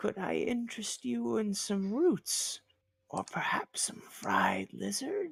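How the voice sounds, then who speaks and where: This is a put-on character voice, whispering. It moves at a fairly slow pace. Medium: actual play.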